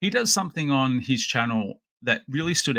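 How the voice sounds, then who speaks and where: With an Australian accent, a man of medium pitch uses lively intonation, his bright, sharp tone touched with vocal fry. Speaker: podcast host and toy collector. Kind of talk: casual unboxing chat. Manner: halting, many fillers.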